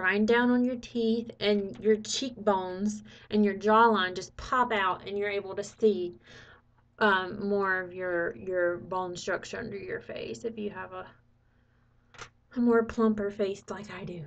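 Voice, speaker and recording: An ordinary speaking voice from a woman at medium pitch, fairly slow and with fairly even intonation, big swings in loudness, over a quiet background. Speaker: makeup tutorial creator. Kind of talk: tutorial. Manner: casual, chatty.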